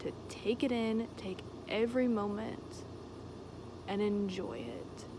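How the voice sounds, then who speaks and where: Noticeable background noise sits under the recording. The woman speaking has a fairly high pitch. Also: dry sound with no echo. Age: 20s. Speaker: vlogger. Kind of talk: casual monologue. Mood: earnest, reflective, at times heated. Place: open country. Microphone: phone near.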